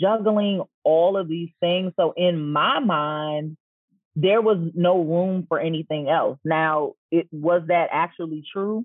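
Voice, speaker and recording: In an American accent, a woman with a fairly low pitch talks at a fairly slow pace with fairly even intonation and an unremarkable speaking voice. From DMV (Washington DC area). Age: 40s. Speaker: personal brand stylist and boutique owner. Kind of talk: casual interview chat.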